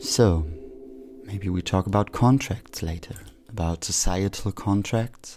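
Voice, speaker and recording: The speech is fairly slow and somewhat breathy, in a German accent. Pitch varies in an ordinary way. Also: man, fairly low pitch for a man. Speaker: community radio host. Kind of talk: solo monologue. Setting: radio studio.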